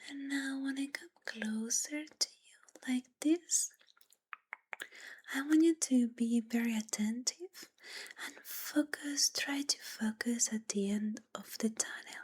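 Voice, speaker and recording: Whispering and soft-spoken, the voice moves at a very slow pace. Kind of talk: ASMR follow-my-instructions, soft-spoken guidance to the viewer. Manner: whispery, soft-spoken.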